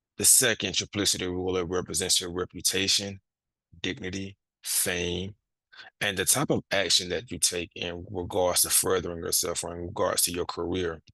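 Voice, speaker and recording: A man speaks at a moderate pace in a very deep, low voice with a bright, sharp tone. The sound is dry and close with no echo, the background quiet, and the intonation fairly even. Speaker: astrology content creator. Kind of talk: lecture.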